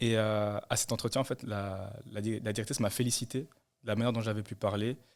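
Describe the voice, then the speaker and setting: A man with a fairly low pitch and monotone, flat intonation speaks at a fairly quick pace on a very clean recording with a silent background. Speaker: nursing student. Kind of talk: testimony. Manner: fast.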